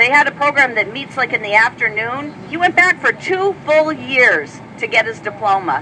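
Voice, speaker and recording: Over noticeable background noise, a woman speaks in a raised, projected voice at a high pitch with an animated tone. Her pitch swings very widely as she moves at a moderate pace. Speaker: speaker at an advocacy event. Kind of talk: public speech.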